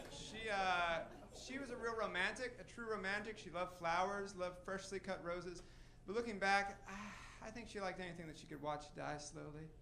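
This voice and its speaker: In a room with audible echo, a man projects a raised, high-pitched voice with a bright, sharp tone, ordinary pitch variation and a fairly quick pace. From Tennessee. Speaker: stand-up comedian. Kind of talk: stand-up. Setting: stage with audience.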